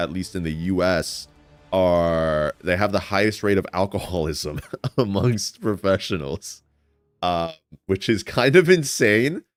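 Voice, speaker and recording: A man's very deep, low voice with ordinary pitch variation over music in the background. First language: Spanish. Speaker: streamer. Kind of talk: casual live stream chat. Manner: halting, many repeated words and fillers.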